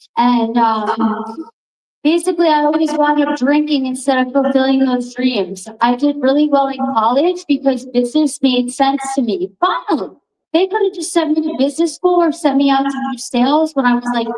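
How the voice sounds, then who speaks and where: A woman's animated, high-pitched voice in a Long Island accent. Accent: Long Island New York. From Long Island, New York. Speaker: recovery speaker. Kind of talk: recovery testimony.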